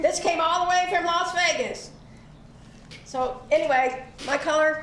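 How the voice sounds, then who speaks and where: In a Southern US accent, a woman talks at a fairly slow pace and extremely high pitch with very even loudness, over noticeable background noise and audible room echo. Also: ordinary pitch variation. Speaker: arts and crafts show host. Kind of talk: casual chat.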